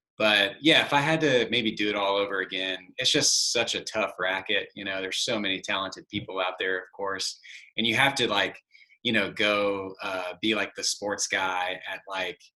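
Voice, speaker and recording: In a bright, sharp tone, a man talks at a moderate speed. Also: fairly low pitch for a man, ordinary pitch variation. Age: 30s. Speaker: podcast host. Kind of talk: casual interview.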